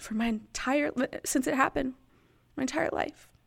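The recording is very clean with a silent background, carrying a voice with vocal fry and lively intonation. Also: woman. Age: 30s. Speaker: podcast host, fitness coach. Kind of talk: personal testimony. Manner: halting, frequent laughs.

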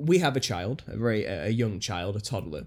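Recorded very cleanly against a silent background, a man with a medium pitch and vocal fry talks at a moderate pace with lively intonation. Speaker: podcast host and conspiracy YouTuber. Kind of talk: casual chat. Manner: jokey, self-deprecating.

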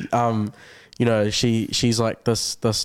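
In a New Zealand accent, a man speaks at a fairly low pitch. The recording is very clean, with a silent background. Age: young. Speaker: university student. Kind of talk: casual chat. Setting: studio.

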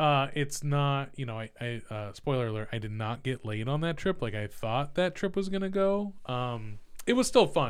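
With an American accent, a man speaks at a moderate pace in a normal speaking voice of medium pitch. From California, Central Valley. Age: 40s. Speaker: tech consultant. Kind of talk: casual interview chat. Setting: studio.

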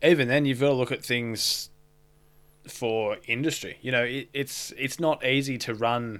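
A man with an Australian accent talks at medium pitch and a moderate pace. His intonation is fairly even, and the recording is very clean with a silent background. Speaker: podcast co-host, tradesman. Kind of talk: casual chat.

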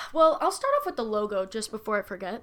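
A woman with an American accent has a fairly high pitch. Noticeable background noise sits behind her. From Massachusetts. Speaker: podcast host, YouTuber. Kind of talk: casual chat.

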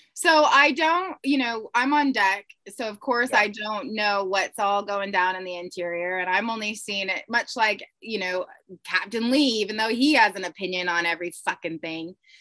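Using an unremarkable speaking voice, a woman speaks at a moderate pace with lively intonation. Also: medium pitch for a woman. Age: 30s. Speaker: yacht crew member and reality TV cast member. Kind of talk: casual chat.

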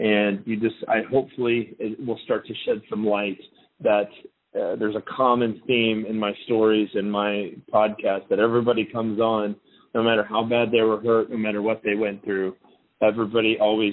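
The man's voice sits at a fairly low pitch, with monotone, flat intonation. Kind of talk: radio show break announcement. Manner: casual, quick, conversational.

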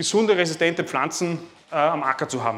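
A man speaks with a high pitch. His pace is fairly quick. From Lower Austria, near Vienna. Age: 30s. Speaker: farmer and agricultural trader. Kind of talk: talk to a live audience. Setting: room with seated audience, microphone. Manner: halting, many repeated words and fillers.

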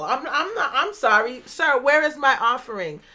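A raised, projected voice with a bright, sharp tone moves at a moderate pace with ordinary pitch variation. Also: woman. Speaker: podcast host. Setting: home recording, kids in background.

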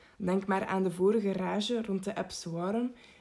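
With an ordinary speaking voice, a woman talks at medium pitch and a moderate pace. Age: 18. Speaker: psychology student. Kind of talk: scripted narration.

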